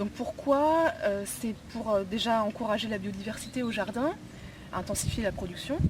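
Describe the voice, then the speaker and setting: There is noticeable background noise behind this woman. She speaks at a fairly high pitch and a fairly slow pace. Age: 30s. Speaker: aspiring market gardener. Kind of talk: project presentation. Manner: hesitant, many fillers.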